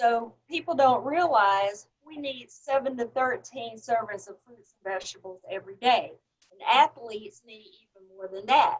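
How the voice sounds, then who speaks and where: A woman with a high voice and a Southern US accent talks with lively intonation and big swings in loudness. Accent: Southern drawl. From US South. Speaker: health supplement franchise owner. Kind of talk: interview testimony.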